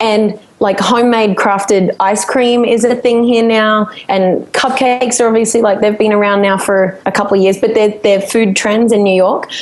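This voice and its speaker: With an Australian accent, a woman with a fairly high pitch talks at a moderate pace and very even loudness over noticeable background noise. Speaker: singer-songwriter. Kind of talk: podcast interview answer. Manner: laughing, upbeat.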